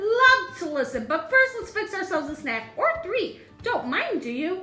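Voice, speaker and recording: A woman does a squeaky, put-on character voice at an extremely high pitch with very wide pitch swings. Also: moderate pace. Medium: read story. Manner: clipped, eager, chummy.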